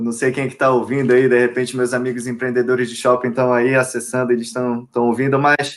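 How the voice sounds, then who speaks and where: Delivered at a very fast pace with hardly any pauses, a man's speech stays in a monotone, flat intonation. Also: medium pitch for a man. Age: 30s. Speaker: lawyer and retail executive. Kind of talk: live interview.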